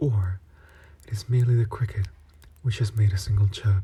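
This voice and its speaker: Soft-spoken, a man talks at a fairly quick pace with a fairly low pitch and fairly even intonation. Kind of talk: ASMR story reading. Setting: close-mic ASMR recording. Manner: soft-spoken, relaxing.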